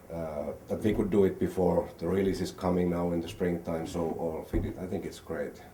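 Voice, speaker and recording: A man's very deep, low voice, dark and mellow in tone, flat and monotone, with hardly any pauses and audible room echo. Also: fairly quick pace. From Finland. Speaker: film producer. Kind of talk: interview.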